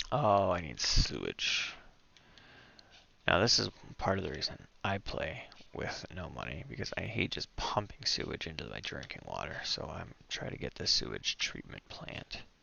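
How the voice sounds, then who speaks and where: A whispering man with vocal fry, at a moderate pace. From Canada. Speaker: gaming streamer. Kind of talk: gameplay commentary. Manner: casual.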